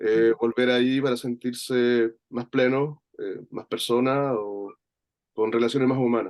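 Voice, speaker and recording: In a Chilean accent, a man talks at a fairly slow pace with a medium pitch and monotone, flat intonation, the sound dry and close with no echo. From Chile, rural interior of Valparaíso region. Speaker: workshop participant. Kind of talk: personal reflection in online workshop. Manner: halting, many fillers and repetitions.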